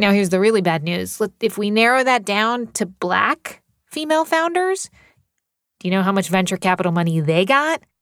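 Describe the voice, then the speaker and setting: Against a silent background in a very clean, dry and close recording with no echo, a woman speaks at a moderate pace in a medium pitch with lively intonation, an ordinary speaking voice. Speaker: podcast host. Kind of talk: interview.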